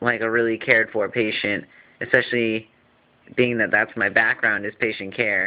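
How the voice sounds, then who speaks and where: Mumbling in a medium pitch, a man talks with monotone, flat intonation. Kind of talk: casual vlog update. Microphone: phone recording.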